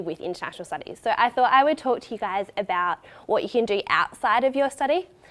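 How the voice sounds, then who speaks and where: A woman's high voice at a fairly quick pace, with very wide swings in pitch. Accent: Australian. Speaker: recent university graduate. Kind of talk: open day talk.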